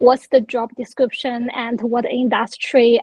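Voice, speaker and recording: With a Chinese accent, a woman talks at a moderate pace in a high pitch. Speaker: workshop participant. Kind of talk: personal sharing. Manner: halting.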